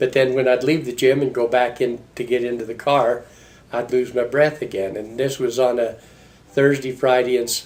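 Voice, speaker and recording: A man's monotone, flat delivery at medium pitch and moderate pace. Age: 70s. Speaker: heart patient. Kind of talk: testimony. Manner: halting.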